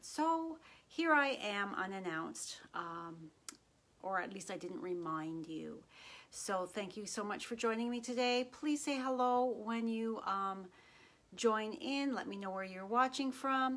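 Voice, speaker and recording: The speaker uses lively intonation at a fairly slow pace. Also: woman. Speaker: craft demonstrator. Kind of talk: casual live stream chat. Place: home room.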